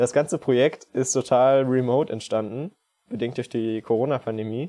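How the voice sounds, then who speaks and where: A plain, everyday voice, fairly even in intonation, at a moderate tempo. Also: man. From Saxony, Leipzig. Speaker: scout volunteer. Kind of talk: podcast interview.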